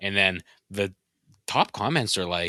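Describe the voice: With fairly even intonation, someone reads aloud plainly while the background stays quiet.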